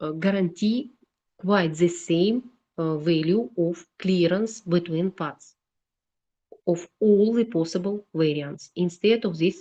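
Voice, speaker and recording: A woman speaks very slowly in a Russian accent. Her pitch is medium, with ordinary variation. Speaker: engineering lecturer. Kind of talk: lecture. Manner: halting.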